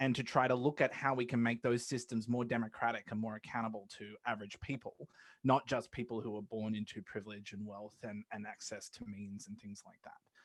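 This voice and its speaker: Over a silent background in a very clean recording, a man with an Australian accent speaks at medium pitch in a monotone, flat way. His loudness swings widely. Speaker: law academic, money policy advocate. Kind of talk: podcast interview. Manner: hesitant, many fillers and repeats.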